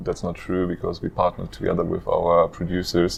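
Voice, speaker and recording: A man's voice over noticeable background noise. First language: not English; speaks German and French. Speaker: startup co-founder. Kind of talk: interview. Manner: hesitant with fillers.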